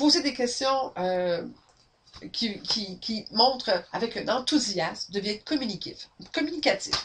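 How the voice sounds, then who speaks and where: A woman with a Quebec accent speaks loudly at a fairly high pitch. She talks at a very slow pace with very wide pitch swings. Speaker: sales trainer. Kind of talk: webinar training. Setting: webinar, camera. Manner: energetic.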